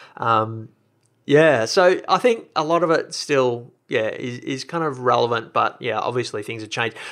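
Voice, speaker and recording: With an Australian accent, a man is talking. He keeps a moderate pace. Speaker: podcast host and blogger. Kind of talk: casual interview chat. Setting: remote call.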